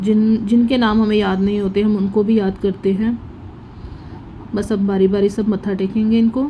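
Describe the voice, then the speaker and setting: A soft-spoken woman talks at a medium pitch and fairly slow pace. Her intonation is monotone and flat, her loudness very even. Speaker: vlogger. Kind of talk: voice-over narration of family vlog.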